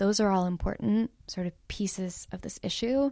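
A woman with an American accent speaks at a moderate pace and medium pitch in a dark, mellow tone, captured as a very clean recording with a silent background and a dry, close sound with no echo. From US West Coast, Los Angeles. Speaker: academic and activist organizer. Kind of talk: interview.

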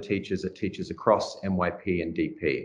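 The speaker is male. His accent is Australian. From Melbourne, Australia. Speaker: language and literature teacher. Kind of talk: interview.

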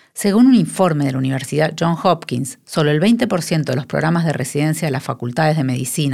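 A woman's very deep, low pitch, lively intonation and fairly quick pace. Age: 50s. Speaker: podcast host, nonprofit director. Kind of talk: scripted narration.

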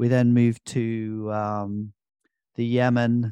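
With a British accent, a man at medium pitch is heard in a dry, close sound with no echo. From UK. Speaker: business school founder and CEO. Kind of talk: casual interview chat. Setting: video call.

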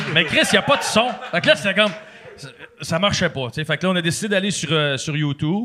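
A high-pitched man at a very fast pace, lively intonation broken by long, frequent pauses, over noticeable background noise. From Quebec, Sainte-Catherine. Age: 30s. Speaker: former hockey player and podcaster. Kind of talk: casual chat.

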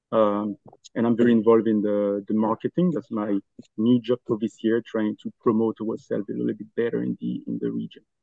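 In a Belgian accent, a man speaks at a fairly quick pace and a fairly low pitch with fairly even intonation. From Belgium. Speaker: furniture store owner. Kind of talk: casual interview chat.

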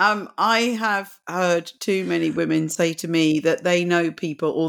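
This woman has a British accent and a fairly low pitch. Her pitch variation is ordinary. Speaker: podcast host. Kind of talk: interview. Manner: halting.

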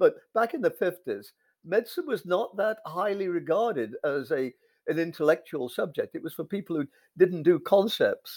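A man with an English accent at a moderate pace, in a very clean recording with a silent background and a dry, close sound with no echo. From England. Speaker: philosopher of science. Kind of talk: interview.

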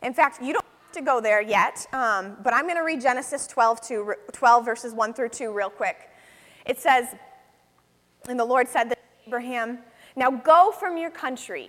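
A woman with an American accent talks in an animated tone at a high pitch, with ordinary pitch variation and a moderate pace. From western New York, US. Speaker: guest preacher and missionary. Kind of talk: sermon. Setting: church service.

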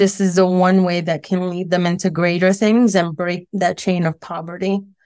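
A woman with an American accent speaks at a moderate pace and medium pitch in a flat monotone, recorded very cleanly against a silent background. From Brooklyn, New York. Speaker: school principal. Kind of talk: interview. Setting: radio studio interview.

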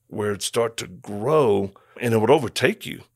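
A man with a medium-pitched voice speaks at a moderate pace on a very clean recording with a silent background. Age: 50s. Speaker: missionary and former Marine. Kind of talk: interview. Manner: halting.

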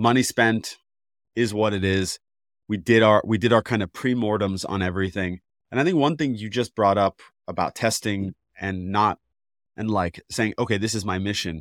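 Recorded very cleanly with a silent background and a dry, close sound with no echo, a man speaks in a plain, everyday voice at a fairly low pitch, moderate pace and ordinary pitch variation. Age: 30s. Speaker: podcast host, former filmmaker. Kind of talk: casual interview chat.

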